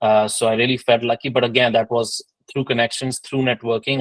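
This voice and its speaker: The man's voice sits at a medium pitch with a monotone, flat intonation and a fairly quick pace. The sound is dry and close, with no echo. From India. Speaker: industry professional panelist. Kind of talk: panel introduction.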